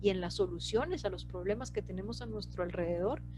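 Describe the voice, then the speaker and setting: There is music in the background. A woman talks with audible room echo around her voice. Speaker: presenter of citizen participation workshop. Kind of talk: lecture. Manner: hesitant, many fillers.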